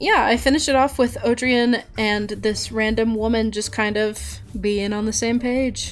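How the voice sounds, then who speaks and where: At a moderate pace with hardly any pauses, the delivery is monotone and flat against noticeable background noise. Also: woman, fairly high pitch for a woman. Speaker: artist YouTuber. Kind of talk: casual chat. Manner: casual with fillers and restarts.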